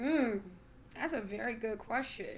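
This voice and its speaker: A woman's plain voice, fairly high in pitch, with ordinary pitch variation, with an American accent: a plain, everyday voice. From United States. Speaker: podcast co-host. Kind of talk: casual chat.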